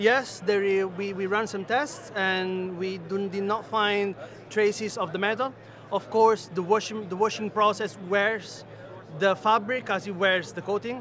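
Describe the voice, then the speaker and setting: Speaking at a fairly slow pace, a man with a high voice keeps his intonation fairly even, in a dry, echo-free recording with light background noise. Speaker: engineer at a textile tech startup. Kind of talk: trade show interview. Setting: trade show floor. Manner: halting, frequent fillers. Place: hall. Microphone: phone near.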